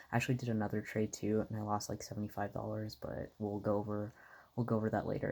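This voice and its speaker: A soft-spoken voice comes through on a very clean recording with a silent background. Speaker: amateur stock trader vlogger. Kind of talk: casual vlog talk. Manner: halting, many fillers.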